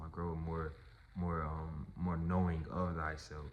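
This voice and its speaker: There is audible room echo as a man speaks in a very deep, low pitch. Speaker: artist and vlogger. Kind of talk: personal storytelling vlog.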